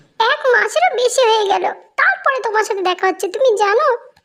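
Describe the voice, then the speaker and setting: A woman uses a put-on character voice at an extremely high pitch. Her loudness stays very even. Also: moderate pace. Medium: audio drama.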